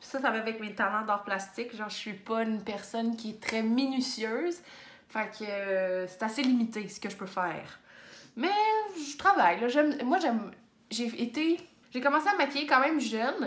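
With a Quebec accent, a woman speaks at a moderate pace and a fairly high pitch, her intonation lively and her loudness swinging widely, with long, frequent pauses and audible room echo. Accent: Québécois French. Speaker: booktuber; book vlogger. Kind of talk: casual chat. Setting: home office. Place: home room. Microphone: phone near.

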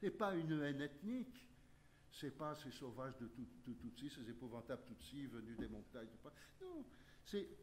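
A man's fairly slow, lively voice with vocal fry, over light background noise. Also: medium pitch for a man. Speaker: historian; conference speaker. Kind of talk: lecture. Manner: animated. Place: meeting room.

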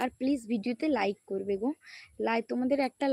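A woman's high-pitched voice shows ordinary pitch variation in a very clean recording, dry and close with no echo and a silent background. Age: 20s. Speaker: YouTuber. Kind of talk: casual livestream chat.

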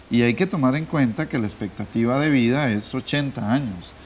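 The speech moves at a fairly slow pace with lively intonation over light background noise. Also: man. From Costa Rica. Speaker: economics academic; guest. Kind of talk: TV panel discussion. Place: studio. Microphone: lapel.

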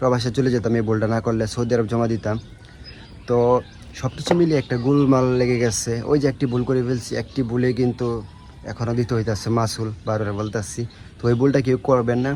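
Noticeable background noise accompanies a man speaking at medium pitch with fairly even intonation. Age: 20s. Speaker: vlogger, former migrant worker. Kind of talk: vlog monologue.

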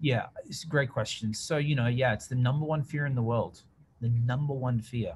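A man with an Australian accent talks at a fairly quick pace in an energetic tone, with ordinary pitch variation and light background noise. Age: 30s. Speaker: public speaker and social media marketer. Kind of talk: interview conversation. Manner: loud. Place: office. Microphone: video call.

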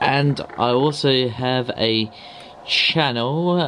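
Against faint background noise, a man talks at a very slow pace in a medium pitch, his tone fairly bright and his pitch variation ordinary.

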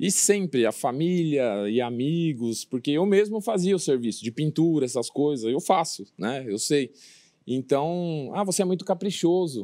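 A man's dark, mellow tone at a moderate pace, against a quiet background. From São Paulo, ABC region; São Paulo, Brazil. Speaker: former footballer turned construction business owner; interview guest. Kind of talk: casual TV interview. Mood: relaxed, friendly. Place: studio.

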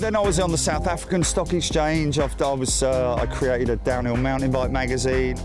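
The voice comes in a British accent at a fairly quick pace, with hardly any pauses. The sound is dry with no echo, and clear music plays in the background. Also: man. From England. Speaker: aviation livestream commentator. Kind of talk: interview answer. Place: open country.

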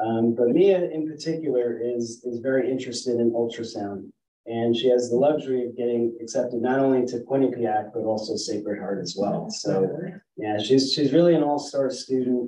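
Audible room echo and light background noise surround a man. He keeps a moderate pace with ordinary pitch variation. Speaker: program teacher presenting a student. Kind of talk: formal speech of praise at a meeting. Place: meeting room. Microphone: camera far.

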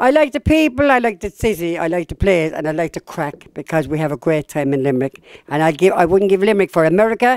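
Someone talks at a very fast pace against a quiet background, the sound dry with no echo. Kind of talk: interview answer. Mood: warm, proud, cheerful. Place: hall. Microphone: handheld.

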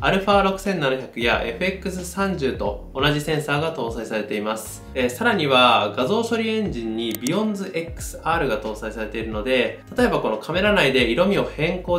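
A man is speaking. Faint music plays behind him, and the room has audible echo. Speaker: camera reviewer. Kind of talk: tutorial. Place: studio.

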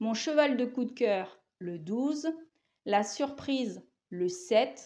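Pitched high, a woman speaks with lively intonation. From France, Laval (Mayenne); France. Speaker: horse racing tipster. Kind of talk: betting tips monologue. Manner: casual, with filler hesitations. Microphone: lapel.

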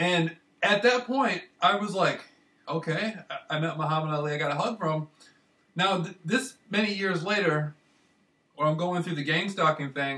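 The speaker has an American accent and ordinary pitch variation. The pace is moderate, broken by long, frequent pauses. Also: man, high pitch for a man. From Michigan, US. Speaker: vlogger. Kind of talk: casual monologue. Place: home room. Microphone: webcam.

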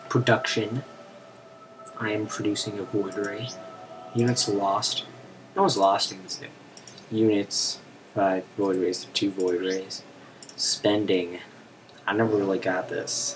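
Speaking at a fairly slow pace with long, frequent pauses, a man with a fairly low pitch and fairly even intonation is heard over noticeable background noise. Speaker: gaming commentator. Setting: recorded while playing a game on a Mac. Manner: casual, rambling, filler-heavy with frequent ums.

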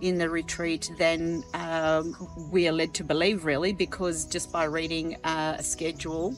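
A woman's flat, monotone voice at a moderate pace, dry with no echo, faint music in the background. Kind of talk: interview answer. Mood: reflective, sincere. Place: garden. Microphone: lapel.

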